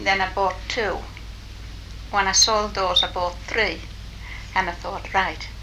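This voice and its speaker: A woman with a Cumbrian accent speaks at a very slow pace with long, frequent pauses, over noticeable background noise and audible room echo. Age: 80s+. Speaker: retired shopkeeper and dressmaker. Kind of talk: oral history interview.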